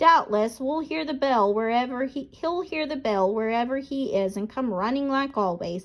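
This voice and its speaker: A woman does a put-on character voice, high-pitched with lively intonation. She goes at a moderate pace with hardly any pauses. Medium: read story.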